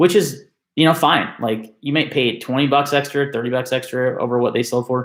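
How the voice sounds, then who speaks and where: A man's voice at medium pitch on a very clean recording, silent background. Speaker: knife enthusiast youtuber. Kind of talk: live stream rant. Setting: live stream on webcam. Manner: loud.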